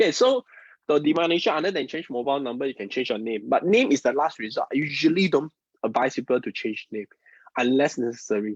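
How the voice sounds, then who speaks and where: Speaking very fast in a Mandarin accent, a man with a fairly high pitch comes through dry and close, with no echo. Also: lively intonation. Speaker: feng shui and Chinese metaphysics teacher. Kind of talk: live-streamed class. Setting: online live stream. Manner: halting, repeats words.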